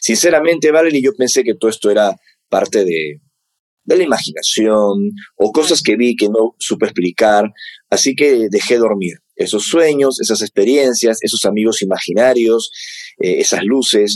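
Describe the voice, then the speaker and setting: A man with an unremarkable speaking voice and medium pitch talks fairly slowly, his intonation lively and his loudness very even. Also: dry, close sound with no echo. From Peru, Lima. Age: 40s. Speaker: UFO researcher and author. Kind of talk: interview conversation.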